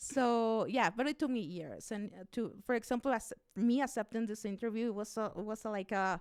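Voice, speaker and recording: With a Mexican accent, a woman speaks at a fairly high pitch. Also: ordinary pitch variation, moderate pace. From Mexico, Chihuahua. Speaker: radio host and immigration activist. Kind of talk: interview conversation. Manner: halting.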